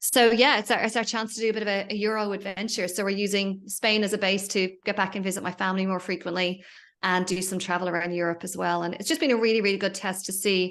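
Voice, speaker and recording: A woman with an Irish accent talks at a very fast pace with hardly any pauses against a quiet background. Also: medium pitch for a woman. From Ireland. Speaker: entrepreneur and business mentor. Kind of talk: podcast interview. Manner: animated.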